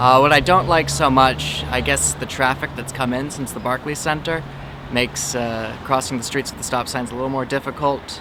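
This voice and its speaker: With an American accent and a medium pitch, a man speaks with fairly even intonation over noticeable background noise. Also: moderate pace. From Brooklyn, New York. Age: 20s. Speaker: local resident. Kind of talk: interview. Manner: hesitant, many fillers.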